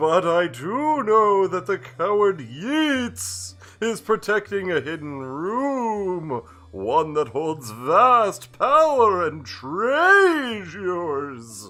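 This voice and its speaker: At a very slow pace, a put-on character voice holds a middle pitch. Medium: game stream. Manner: grandiose, portentous.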